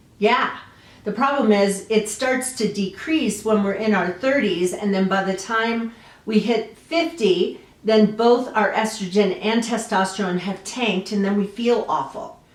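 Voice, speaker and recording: Noticeable background noise can be heard. The voice moves at a fairly slow pace with ordinary pitch variation. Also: woman, fairly high pitch for a woman. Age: 60s. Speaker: lifestyle vlogger. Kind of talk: personal testimony vlog. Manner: casual with frequent fillers.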